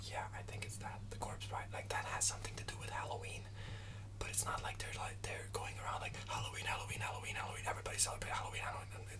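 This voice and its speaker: A man whispering at a very fast pace, noticeable background noise behind him. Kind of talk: ASMR whispered ramble. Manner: whispered.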